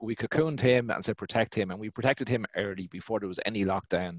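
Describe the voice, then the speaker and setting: With an Irish accent, a man talks at a very fast pace and a fairly low pitch, the sound dry with no echo. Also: quiet background. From Ireland. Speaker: business owner; guest. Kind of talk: panel discussion. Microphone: headset.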